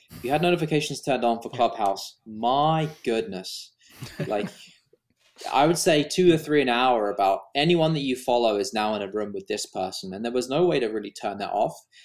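A man's ordinary speaking voice at a medium pitch, fairly quick in pace, with lively intonation. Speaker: video YouTuber and wedding filmmaker, podcast co-host. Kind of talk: casual chat.

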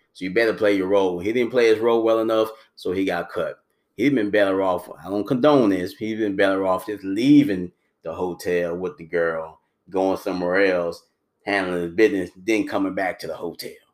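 A man with a fairly low pitch sounds animated, speaking at a fairly quick pace with ordinary pitch variation. The recording is very clean, with a silent background. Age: 40s. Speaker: sports podcast host. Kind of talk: casual sports commentary monologue.

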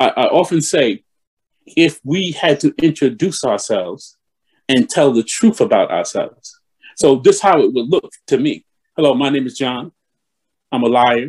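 A man speaks at a moderate pace with a New York accent, leaving long, frequent pauses. The sound is dry and close, with no echo. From New York (East Elmhurst, Queens). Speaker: bishop. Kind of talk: interview.

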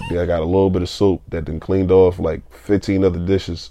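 With a very deep, low pitch and a dark, mellow tone, a man talks at a moderate pace in a monotone, flat intonation. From Philadelphia, US. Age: 20s. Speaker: podcast co-host. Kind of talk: casual chat.

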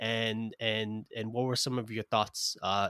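In an American accent, the speaker talks at a fairly slow pace with monotone, flat intonation, in a dry, close, very clean recording with a silent background and no echo. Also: man. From US, Brooklyn, New York. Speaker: podcast host. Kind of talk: interview conversation. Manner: halting, many repetitions.

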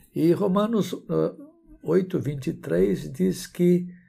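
Audible room echo surrounds this man's voice. He has a dark, mellow tone at a high pitch. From Brazil. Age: 70s. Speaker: pastor and theology professor. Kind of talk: sermon.

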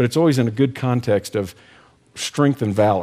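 A man with an American accent, an unremarkable speaking voice at medium pitch and a fairly quick pace, on a very clean recording with a silent background. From Texas. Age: 60s. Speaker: ministry director and speaker. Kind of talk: devotional talk.

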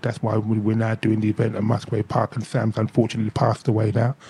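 A man talks at a very fast pace in a medium pitch. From London, Hackney (Caribbean family). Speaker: reggae DJ and record label owner. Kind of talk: casual interview.

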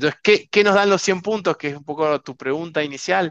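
A man's voice comes through dry and close with no echo, over a quiet background. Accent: Argentine. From Argentina, Mendoza. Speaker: winery director. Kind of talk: interview.

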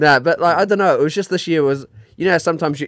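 Talking at a very fast pace in a New Zealand accent, a man with fairly high pitch is heard in a dry, close sound with no echo. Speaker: podcast co-host. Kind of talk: casual chat.

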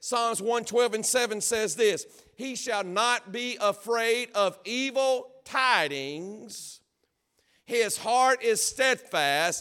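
A man speaks at a very slow pace in a raised, projected voice with an extremely high pitch, a bright, sharp tone and ordinary pitch variation. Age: 40s. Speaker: pastor. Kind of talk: sermon. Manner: animated.

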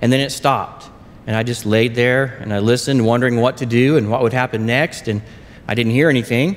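Using an Oklahoma accent, a man with a medium pitch speaks at a fairly quick pace with fairly even intonation. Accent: Oklahoma US Southern. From southern Oklahoma. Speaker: lay preacher. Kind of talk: sermon. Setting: church.

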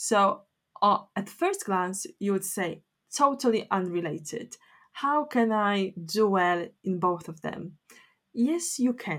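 This woman speaks with a Polish accent. Her pace is very slow. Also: medium pitch for a woman, lively intonation, very clean recording, silent background. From Poland. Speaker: academic writing teacher. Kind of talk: solo educational podcast.

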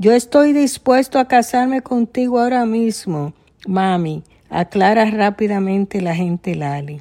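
A woman's fairly high, dark and mellow voice with lively intonation at a fairly slow pace, on a very clean recording with a silent background. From Dominican Republic. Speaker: writer. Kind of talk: reading aloud.

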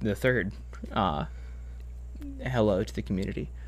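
A man with an American accent and vocal fry, at a moderate pace. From Massachusetts. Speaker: stage actor. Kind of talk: casual chat. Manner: halting.

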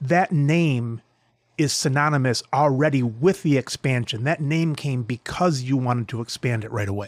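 A plain, everyday voice at a moderate pace, with ordinary pitch variation, in a very clean recording with a silent background. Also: man, medium pitch for a man, dry, close sound with no echo. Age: 50s. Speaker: podcast host. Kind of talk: interview.

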